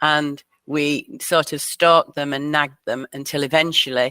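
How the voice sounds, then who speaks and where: A woman with a Lancashire accent speaks at a moderate pace with a very deep, low pitch and fairly even intonation. Her tone is bright and sharp, in a dry, close sound with no echo. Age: 60s. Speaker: community broadband founder. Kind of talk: interview.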